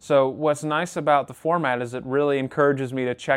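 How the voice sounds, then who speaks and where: Monotone, flat intonation at a fairly quick pace, with a Western New York accent. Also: man. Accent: Western New York (Inland North) American. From Rochester, New York. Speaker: podcast host and radio presenter. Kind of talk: casual interview chat.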